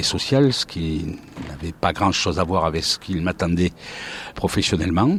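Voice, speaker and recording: Noticeable background noise sits behind this recording. A man speaks at a very deep, low pitch and a moderate pace. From southern France, Montpellier. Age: 60s. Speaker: retired sports commentator. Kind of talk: interview, life story. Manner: hesitant, frequent 'euh' fillers.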